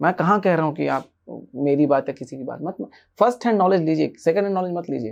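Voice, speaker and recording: Long, frequent pauses break up this man's speech at a moderate pace. His fairly high voice shows ordinary pitch variation and big swings in loudness. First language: an Indian language other than Hindi (speaking Hindi). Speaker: spiritual teacher. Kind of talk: podcast interview.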